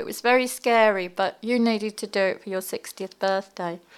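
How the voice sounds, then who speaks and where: Recorded very cleanly against a silent background, a woman with an English accent talks at a fairly high pitch with ordinary pitch variation. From English Midlands, near Birmingham. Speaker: ocean swimmer and underwater photographer. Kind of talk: interview. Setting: studio.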